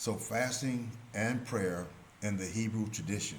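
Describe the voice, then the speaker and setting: A man speaks at a very slow pace in a somewhat breathy voice with ordinary pitch variation, and the room echo is audible. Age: 70s. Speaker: religious commentator. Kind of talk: religious teaching monologue.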